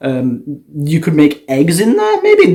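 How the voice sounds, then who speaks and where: Here a man's voice has a dark, mellow tone. His pitch is fairly high. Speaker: gaming YouTuber. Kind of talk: casual video commentary. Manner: fast; animated.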